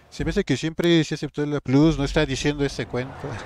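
A man's fairly high voice, dry and close with no echo, on a very clean recording with a silent background. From Mexico, rural. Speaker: gaming streamer. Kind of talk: live gameplay stream chat. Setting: live stream. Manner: animated.

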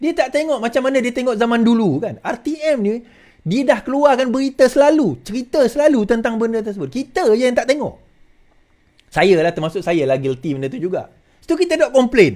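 A man with a Malaysian accent at an extremely high pitch, lively intonation and big swings in loudness, moderate pace, quiet background. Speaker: political commentator. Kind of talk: political commentary monologue to camera. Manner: informal, rambling, self-correcting. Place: home room. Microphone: studio mic.

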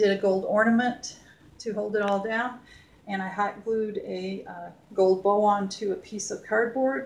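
A woman with an American accent at medium pitch, moderate pace and fairly even intonation, with noticeable background noise. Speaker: home decor vlogger. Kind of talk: show-and-tell home tour. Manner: casual, hesitant with fillers.

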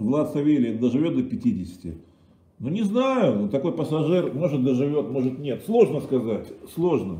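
A man with a dark, mellow tone and vocal fry speaks at a fairly high pitch. His pitch swings very widely at a fairly slow pace, and room echo is audible. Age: 50s. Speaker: streamer. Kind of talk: casual livestream monologue. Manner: animated. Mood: irritated, crude. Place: kitchen. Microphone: webcam.

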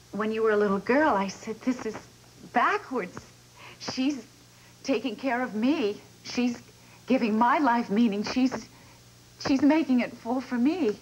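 A woman's high-pitched voice at a fairly slow pace, with ordinary pitch variation and long, frequent pauses. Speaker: soap opera actress playing a mother. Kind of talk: drama dialogue. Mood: emotional, tender confession. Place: stage.

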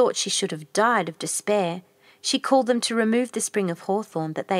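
Someone reads the text aloud plainly.

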